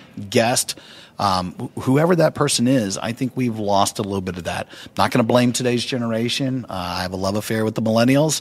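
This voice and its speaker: Speaking at a moderate pace with medium pitch and ordinary pitch variation, a man has an ordinary speaking voice. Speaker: keynote speaker and author. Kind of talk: interview.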